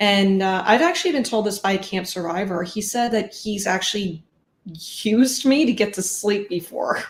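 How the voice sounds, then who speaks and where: At a moderate pace, a woman with a somewhat breathy voice speaks at a medium pitch with ordinary pitch variation. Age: 30s. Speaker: streamer. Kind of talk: interview.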